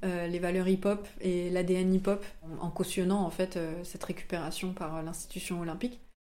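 Amid audible room echo, a woman with a medium pitch and a dark, mellow tone speaks at a fairly slow pace. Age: 20s. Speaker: comic book author. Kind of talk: interview. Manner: hesitant, many fillers.

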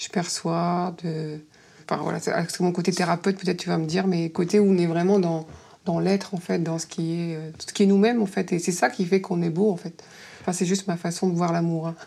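A woman talks at a fairly quick pace with a fairly low pitch and a dark, mellow tone. Her intonation is monotone and flat. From northern France, Dunkirk. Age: 40s. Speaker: nurse and therapist, dating show participant. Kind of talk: casual chat, blind date. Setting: in total darkness, recorded date.

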